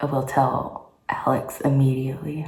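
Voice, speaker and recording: A woman whispers in a somewhat breathy way, with audible room echo around her. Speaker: vlogger. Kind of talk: personal vlog. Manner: whispering.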